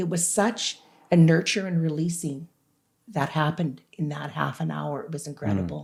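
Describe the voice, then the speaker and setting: This woman's voice has vocal fry and a very deep, low pitch, with ordinary pitch variation. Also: moderate pace. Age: 60s. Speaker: author. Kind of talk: interview. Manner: animated.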